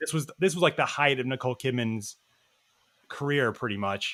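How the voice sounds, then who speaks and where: A man with an American accent at a medium pitch, very fast pace, ordinary pitch variation and a bright, sharp tone. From US South, Nashville, Tennessee. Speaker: film podcast guest. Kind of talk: casual chat.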